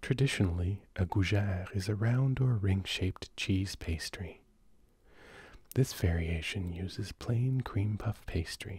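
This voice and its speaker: In a very clean recording with a silent background, a man with a somewhat breathy, soothing tone speaks very slowly at a fairly low pitch with ordinary pitch variation. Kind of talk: sleep reading of recipes. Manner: soothing, slow.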